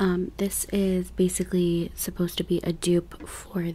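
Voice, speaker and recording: A soft-spoken woman. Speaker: beauty content creator. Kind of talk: casual vlog chat. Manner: soft-spoken, quiet close-mic voice. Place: home room. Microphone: studio mic.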